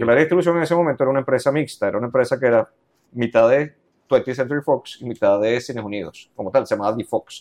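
Talking very fast, a man at medium pitch uses ordinary pitch variation in a dry, close sound with no echo. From Venezuela, Los Teques. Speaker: cultural manager. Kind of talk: interview.

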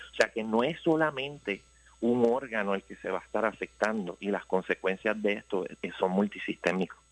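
A man's fairly low voice with a Puerto Rican accent, ordinary pitch variation and a moderate pace. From Puerto Rico, Ponce. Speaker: infectious disease doctor. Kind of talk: radio interview. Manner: halting, many fillers and repetitions.

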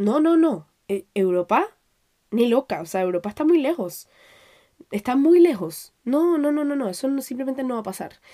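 A dark, mellow tone at a moderate pace, with very wide pitch swings. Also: woman, high pitch for a woman. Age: 20s. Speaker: podcast host. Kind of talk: solo personal monologue. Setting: home recording at microphone.

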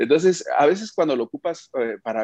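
A man speaks in a normal speaking voice with lively intonation at a moderate pace. The sound is dry and close, with no echo. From Mexico, Oaxaca. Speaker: media founder and publisher. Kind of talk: interview.

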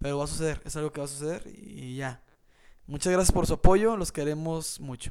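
With a Mexican accent, a man talks in a fairly high pitch, his loudness swinging widely. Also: ordinary pitch variation, fairly quick pace. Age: 20s. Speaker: podcast co-host. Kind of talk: casual chat.

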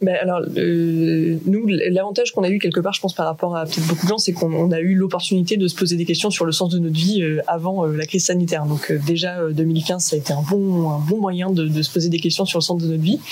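A woman with a fairly low pitch talks at a fairly quick pace with hardly any pauses, very even loudness and fairly even intonation, over noticeable background noise. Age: 30s. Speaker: adventurer and association co-founder. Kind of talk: casual interview. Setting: radio studio.

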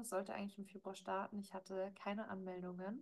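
At a very fast pace, a woman speaks with a somewhat breathy voice at medium pitch. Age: 30s. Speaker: podcast host and life coach. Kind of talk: solo monologue, casual recap. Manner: hesitant, frequent filler words.

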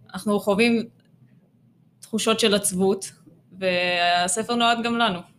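A woman speaks at a fairly slow pace in a medium pitch and fairly even intonation, with long, frequent pauses. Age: 20s. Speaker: children's book author. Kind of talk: interview. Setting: studio.

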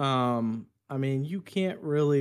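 This man's pitch is fairly high, and his intonation is lively. The recording is very clean, with a silent background. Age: 30s. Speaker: car salesman, gamer streamer. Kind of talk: casual chat.

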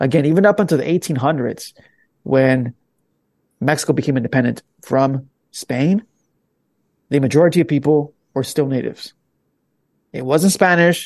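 In an American accent, the voice moves at a moderate pace with ordinary pitch variation and long, frequent pauses, the sound dry and close with no echo. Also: man, fairly high pitch for a man. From Los Angeles, California. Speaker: podcaster. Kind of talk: casual chat.

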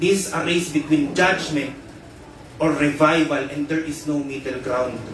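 With noticeable background noise behind him, a man speaks in an intense tone at a fairly slow pace, his fairly high pitch held to fairly even intonation. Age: 20s. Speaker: preacher. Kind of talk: sermon, fervent preaching with prayer and declarations of spiritual warfare. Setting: church.

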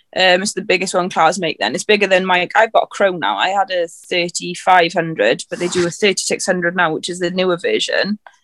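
A woman with a South Welsh accent speaks at a moderate pace and medium pitch, flat and monotone. The sound is dry and close with no echo. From South Wales, Carmarthenshire. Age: 20s. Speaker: farm worker and tractor driver. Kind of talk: casual chat.

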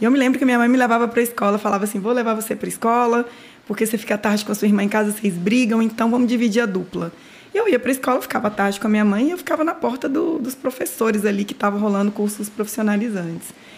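A woman with a fairly high pitch speaks at a very fast pace, with noticeable background noise behind her. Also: ordinary pitch variation. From Minas Gerais, Brazil (Nanuque). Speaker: hair salon owner. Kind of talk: interview storytelling. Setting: studio.

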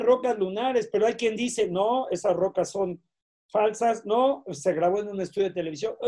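A high-pitched man's voice with a dark, mellow tone, ordinary pitch variation and a fairly slow pace. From Mexico. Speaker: UFO researcher. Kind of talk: interview answers.

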